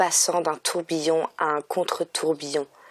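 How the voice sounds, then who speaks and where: In a very clean recording with a silent background, a woman speaks very slowly in a very deep, low voice. Her intonation is monotone and flat, her tone calm and soothing. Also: dry, close sound with no echo. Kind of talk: audiobook reading. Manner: calm, soothing.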